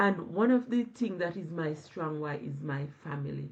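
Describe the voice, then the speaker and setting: Somewhat breathy, a woman speaks at a very slow pace in a very deep, low pitch with lively intonation. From Jamaica. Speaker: online business owner. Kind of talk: live stream interview. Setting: live video stream.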